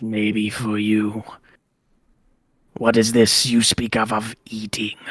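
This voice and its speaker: The speaker puts on a character voice. The intonation is monotone and flat, at a very slow pace. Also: man, medium pitch for a man. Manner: ancient, menacing.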